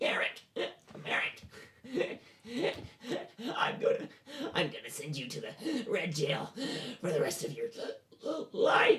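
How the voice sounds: Raspy and squeaky at a middle pitch, a put-on character voice moves at a fairly slow pace with long, frequent pauses.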